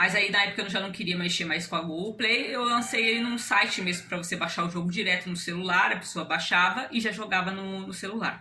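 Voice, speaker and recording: Over noticeable background noise, a woman talks at a fairly quick pace with hardly any pauses. Her medium-pitched voice keeps a fairly even intonation. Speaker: amateur game developer. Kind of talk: casual explanation. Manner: fast.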